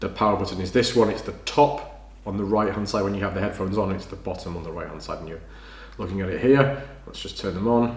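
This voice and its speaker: A man at a very fast pace, fairly low in pitch, with ordinary pitch variation and big swings in loudness, amid audible room echo and noticeable background noise. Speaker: tech video creator. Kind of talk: unboxing tutorial.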